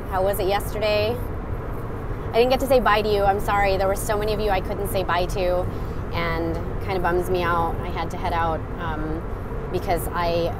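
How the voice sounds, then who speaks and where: A woman talks at a fairly quick pace with ordinary pitch variation, the sound dry with no echo and the background noise noticeable. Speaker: livestreamer. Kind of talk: casual vlog chat. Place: car. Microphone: earbuds.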